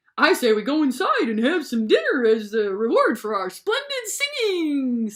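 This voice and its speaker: A high-pitched, put-on character voice at a moderate pace. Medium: read story.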